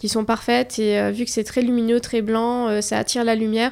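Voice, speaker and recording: On a very clean recording with a silent background, a woman speaks at a moderate pace. Her pitch is fairly high and her intonation monotone and flat. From Morocco. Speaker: fashion influencer. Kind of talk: interview. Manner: hesitant.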